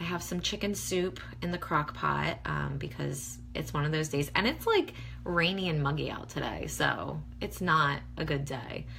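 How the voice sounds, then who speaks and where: A woman is speaking with audible room echo. Noticeable background noise can be heard too. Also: moderate pace. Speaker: beauty blogger. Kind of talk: casual livestream tutorial. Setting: facebook live video at home. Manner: chatty, many fillers.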